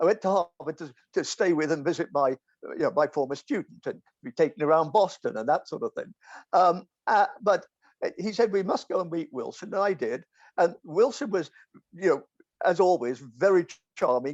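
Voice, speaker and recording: With an English accent, a man speaks at a moderate pace and a high pitch with lively intonation, the sound dry and close with no echo and the background quiet. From England. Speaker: philosopher. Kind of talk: casual chat. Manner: halting.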